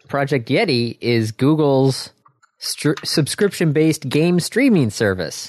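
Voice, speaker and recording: A man talks at a very slow pace with a fairly high pitch. His intonation is lively. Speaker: podcast co-host. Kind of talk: casual chat.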